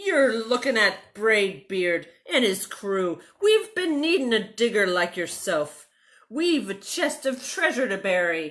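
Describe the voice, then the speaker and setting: A woman bellows loudly in a put-on character voice, fairly high and fairly slow, on a very clean recording with a silent background. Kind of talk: bedtime story. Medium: read story. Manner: loud, bellowing.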